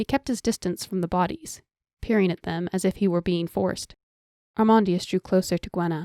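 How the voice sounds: Natural reading aloud over a quiet background.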